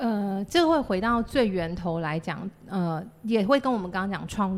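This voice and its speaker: A woman with a normal speaking voice talks at medium pitch and a moderate pace. Her pitch varies in an ordinary way, with hardly any pauses. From Taiwan, Chiayi City. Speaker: playwright and theatre company founder. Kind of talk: casual interview chat.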